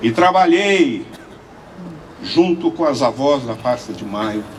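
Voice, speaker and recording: Amid audible room echo and noticeable background noise, a man's fairly high voice moves at a very slow pace with very wide pitch swings. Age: 70s. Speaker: lawyer and human rights activist. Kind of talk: conference speech.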